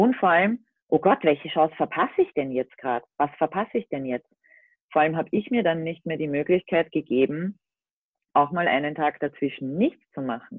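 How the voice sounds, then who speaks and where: Lively intonation marks this woman's speech. Her very deep, low voice keeps a moderate pace. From Austria. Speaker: van-life social media creator. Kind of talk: casual chat. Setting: remote call from home.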